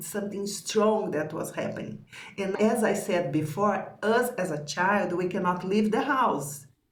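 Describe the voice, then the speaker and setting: A woman with a non-native accent and medium pitch talks at a fairly slow pace. Audible room echo and noticeable background noise are present. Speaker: spiritual teacher. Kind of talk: teaching conversation.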